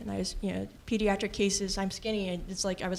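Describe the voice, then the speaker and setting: Someone talks very fast with an American accent. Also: woman. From US West Coast, Los Angeles. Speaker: patient sharing experience. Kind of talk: testimony. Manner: casual, filler-heavy.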